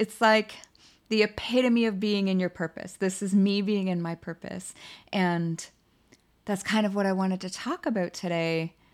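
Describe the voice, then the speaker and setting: A woman's medium-pitched voice with fairly even intonation, on a very clean recording with a silent background. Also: moderate pace. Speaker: podcast host. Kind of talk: solo inspirational talk. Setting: home recording at computer. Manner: emotive, effusive.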